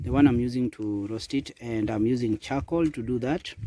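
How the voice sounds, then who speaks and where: Medium in pitch, a man's voice carries a dark, mellow tone. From Kenya. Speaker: vlogger. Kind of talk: casual vlog. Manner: casual with repetitions and restarts.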